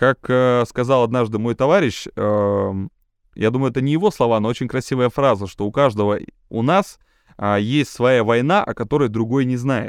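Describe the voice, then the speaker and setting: The very clean recording, with a silent background, has a man at medium pitch talking at a moderate pace in an ordinary speaking voice with ordinary pitch variation. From Siberia. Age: 30s. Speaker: TV presenter and event host. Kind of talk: casual interview chat.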